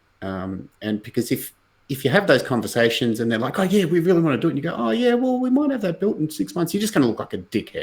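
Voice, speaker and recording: With very wide pitch swings and a fairly high pitch, a man talks at a very fast pace on a very clean recording with a silent background. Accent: Australian. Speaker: blockchain company executive. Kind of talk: casual interview on livestream.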